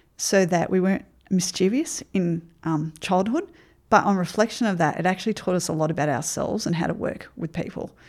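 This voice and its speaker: Speaking in an Australian accent, this woman keeps a fairly quick pace. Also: very clean recording, silent background. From Queensland, Australia (Ipswich). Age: 50s. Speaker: remedial therapist and life coach. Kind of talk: interview.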